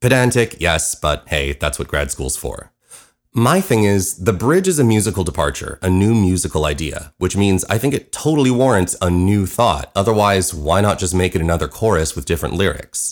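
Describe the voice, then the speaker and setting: Against a silent background on a very clean recording, a man speaks with lively intonation at a very deep, low pitch. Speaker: musical writer and podcast host. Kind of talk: scripted narration, personal storytelling. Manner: talks too fast.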